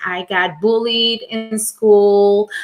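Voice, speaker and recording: This woman speaks with a Latin American accent. Her fairly high voice has a bright, sharp tone. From Venezuela. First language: Spanish. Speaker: life coach and show host. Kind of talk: live stream monologue. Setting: live stream.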